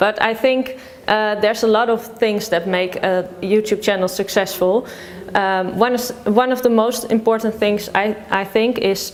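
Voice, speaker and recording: Over noticeable background noise, a woman with a Dutch accent speaks slowly-ish at a fairly high pitch, her intonation fairly even. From Netherlands. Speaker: food vlogger. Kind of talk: interview. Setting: office. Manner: halting.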